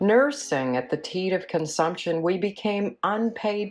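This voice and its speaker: A woman's medium-pitched voice at a fairly slow pace with ordinary pitch variation, music in the background. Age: 50s. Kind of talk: spoken word essay.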